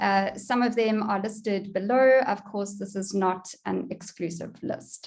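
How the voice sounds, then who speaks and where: At a moderate pace, a speaker with a South African accent is heard with audible room echo. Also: woman. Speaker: online education consultant, conference speaker. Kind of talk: conference presentation.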